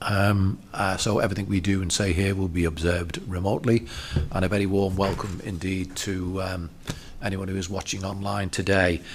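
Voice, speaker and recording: Someone talks at a moderate pace with fairly even intonation. Audible room echo and noticeable background noise surround the voice. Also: man. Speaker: council committee chair. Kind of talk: formal public meeting. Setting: council meeting room, webcast. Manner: halting with many fillers.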